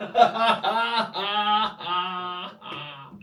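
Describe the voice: This clip is simply read aloud in a plain way.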